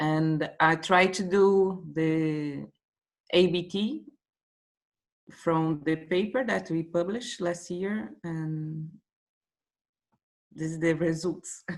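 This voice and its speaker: Using a Portuguese accent, a woman with a fairly low pitch and ordinary pitch variation speaks at a very slow pace, with long, frequent pauses. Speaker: workshop participant, marine biologist. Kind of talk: casual discussion. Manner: halting.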